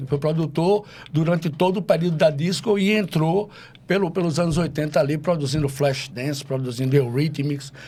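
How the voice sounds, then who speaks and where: A man's fairly high voice has a dark, mellow tone and ordinary pitch variation. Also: moderate pace. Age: 60s. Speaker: DJ. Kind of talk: casual chat.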